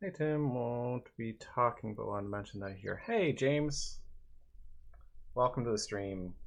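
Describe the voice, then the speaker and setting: A man's soothing, relaxed tone at medium pitch, with lively intonation. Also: moderate pace. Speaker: digital artist streaming. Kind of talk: casual livestream commentary while painting.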